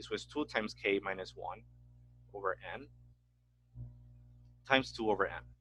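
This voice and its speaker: A man's voice with a dry, close sound and no echo. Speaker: math teacher. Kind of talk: lecture. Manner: fast.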